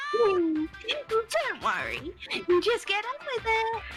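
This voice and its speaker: Someone speaks at a very slow pace in a put-on character voice. Clear music plays in the background. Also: woman, extremely high pitch for a woman. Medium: actual play. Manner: playful, mocking, sing-song.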